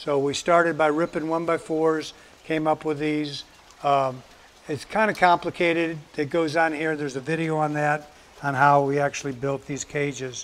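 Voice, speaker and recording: This man talks at a moderate pace in a monotone, flat delivery. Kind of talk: tutorial. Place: farm machine.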